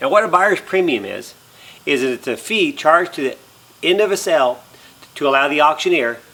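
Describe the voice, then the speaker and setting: A man with an American accent and lively intonation amid noticeable background noise. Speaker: auctioneer. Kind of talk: auction item presentation, explanatory talk to camera. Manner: friendly, upbeat, conversational.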